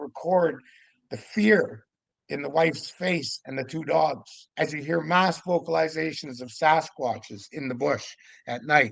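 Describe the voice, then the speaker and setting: A man at a moderate pace, animated in tone, with vocal fry. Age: 60s. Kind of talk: casual interview.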